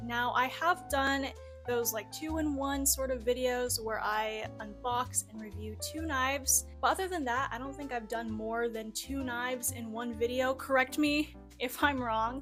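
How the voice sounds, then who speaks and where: A woman talks at a fairly slow speed. Behind her, music plays. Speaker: knife reviewer. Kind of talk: product review talk to camera.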